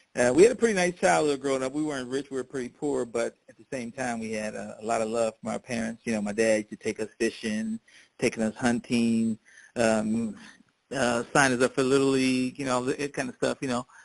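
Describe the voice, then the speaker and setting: In a plain, everyday voice at medium pitch, a man talks fairly quickly with fairly even intonation and big swings in loudness, in a dry, close sound with no echo and a quiet background. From US Midwest, Hammond, Indiana. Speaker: oral history interviewee. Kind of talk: oral history interview.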